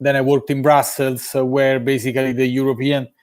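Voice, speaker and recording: A man talks with an Italian accent. His voice is fairly high. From Italy, Rome. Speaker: sports education business development director. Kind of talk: live interview. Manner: hesitant, many fillers.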